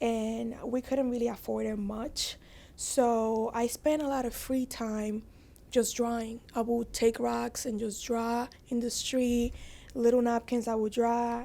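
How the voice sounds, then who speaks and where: A woman speaks at a fairly slow pace in a Spanish accent, her pitch fairly high and her tone dark and mellow. Her intonation is flat and monotone, and the recording is very clean with a silent background. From Dominican Republic, then Bronx, New York. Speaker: fashion designer. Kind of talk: podcast interview, personal story.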